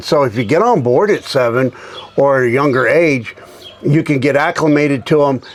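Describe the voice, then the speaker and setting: Noticeable background noise sits behind this man. He talks at a moderate pace with a medium pitch. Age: 60s. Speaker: golf club company founder. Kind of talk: casual chat. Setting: tour van.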